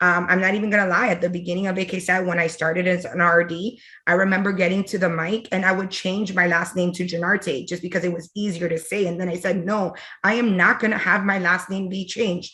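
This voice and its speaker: Talking at a very fast pace with a Miami accent, a woman has a medium pitch, a bright, sharp tone and monotone, flat intonation. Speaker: fraternity alumna working in tech. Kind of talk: panel discussion.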